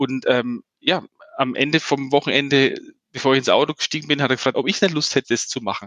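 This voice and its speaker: Here is a man with a plain, everyday voice, pitched fairly high. His pitch varies an ordinary amount, and his pace is fairly quick. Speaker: startup founder and CEO. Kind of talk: interview. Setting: remote call from Canada.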